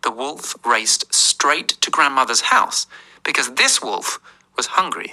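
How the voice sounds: The voice heard is a natural reading voice.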